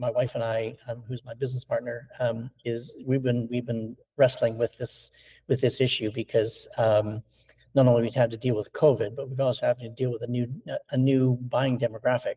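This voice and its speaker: The tone is dark, mellow and somewhat breathy. Delivery is monotone and flat at a moderate pace. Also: man, medium pitch for a man. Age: 60s. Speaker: stone sculptor. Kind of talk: interview. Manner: halting, many fillers and repetitions.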